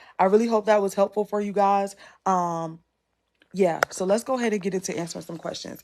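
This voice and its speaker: A woman talks in an unremarkable speaking voice with an American accent. Her medium pitch stays fairly even as she moves at a fairly quick pace. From US South, North Carolina (Rocky Mount). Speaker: content creation coach. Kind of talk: live masterclass / Q&A. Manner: casual, conversational.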